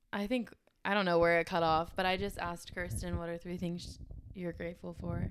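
Speech with a Texas accent and ordinary pitch variation. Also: woman, fairly low pitch for a woman, fairly quick pace. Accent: American, Texas. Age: 20s. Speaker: podcast host. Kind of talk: casual chat.

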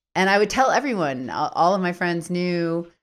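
In an American accent, a woman with a normal speaking voice talks at a moderate pace and a fairly low pitch for a woman. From US Midwest, Minneapolis. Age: 40s. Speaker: podcast co-host, writer, astrologer. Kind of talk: casual chat; reading aloud.

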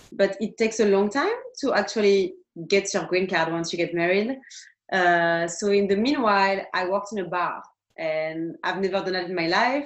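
Ordinary pitch variation marks this woman's medium-pitched voice. She speaks with a French accent. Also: moderate pace. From France. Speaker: tattoo artist. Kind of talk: interview.

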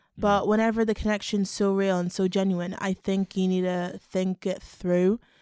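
The speaker has a Belfast accent, a dark, mellow tone and monotone, flat intonation, talking at a moderate pace with hardly any pauses and very even loudness. The sound is dry and close with no echo, on a very clean recording with a silent background. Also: woman, medium pitch for a woman. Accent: Belfast Northern Irish. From Northern Ireland, Belfast. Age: 20s. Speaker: podcast co-host, university student. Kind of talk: casual chat.

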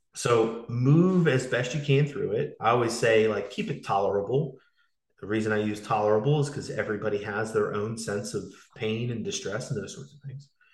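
Fairly quick, somewhat breathy speech from a man, medium in pitch, with ordinary pitch variation. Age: 30s. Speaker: fitness coach and podcast host. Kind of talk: casual interview conversation.

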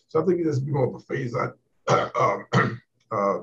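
A somewhat breathy voice with an American accent moves at a moderate pace with ordinary pitch variation. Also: man. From Southern California. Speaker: aerospace engineer and Air Force veteran. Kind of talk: panel discussion.

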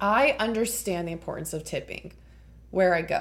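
A woman is speaking. Her pace is fairly quick. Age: 20s. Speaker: plant shop owner. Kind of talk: casual chat.

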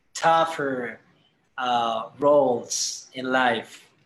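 A man speaks at a very slow pace with a Spanish accent, his pitch varying in an ordinary way. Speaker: musician and band leader. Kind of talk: casual interview.

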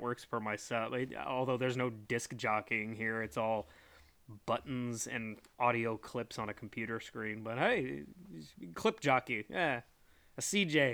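A man with a normal speaking voice at medium pitch talks at a moderate pace in a very clean recording with a silent background. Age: 30s. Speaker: podcast host; former Marine. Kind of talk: solo monologue. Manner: casual, filler-heavy speech.

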